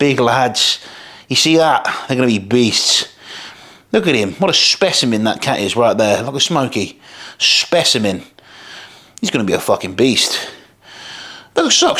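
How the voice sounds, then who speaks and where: A man speaks at medium pitch with lively intonation and a bright, sharp tone. His delivery has long, frequent pauses. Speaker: bodybuilder and fitness coach. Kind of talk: casual vlog commentary. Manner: fast; animated.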